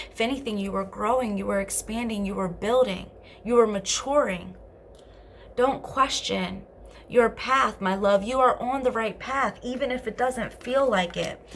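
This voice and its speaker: Her pitch fairly high and its variation ordinary, a woman talks. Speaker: tarot card reader. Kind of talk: tarot reading. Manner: fast; animated.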